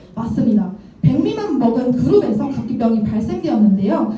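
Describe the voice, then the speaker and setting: A woman speaks at a moderate pace with a fairly high pitch. Noticeable background noise and audible room echo accompany her. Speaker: product trainer. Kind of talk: lecture.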